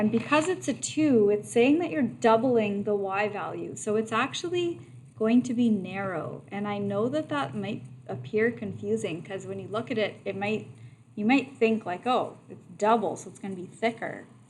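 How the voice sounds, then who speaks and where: A woman's medium-pitched voice with vocal fry, very wide pitch swings and a moderate pace, plus audible room echo. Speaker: math teacher. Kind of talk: lecture. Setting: online video lesson.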